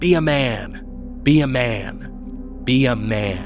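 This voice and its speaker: A man's put-on character voice at medium pitch, fairly slow in pace, over loud background music. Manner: insistent, repetitive.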